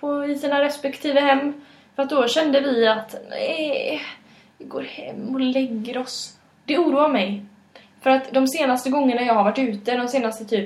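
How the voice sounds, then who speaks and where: Against noticeable background noise and audible room echo, a woman with a high pitch and fairly even intonation talks at a moderate pace. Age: 20s. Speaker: podcast co-host. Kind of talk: casual chat. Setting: home kitchen.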